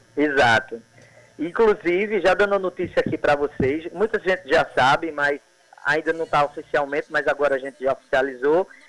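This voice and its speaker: Using a plain, everyday voice, a man speaks at a moderate pace in a fairly high pitch with ordinary pitch variation. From Sertão of Paraíba, Brazil (Cajazeiras). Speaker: poet and actor. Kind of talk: casual radio interview.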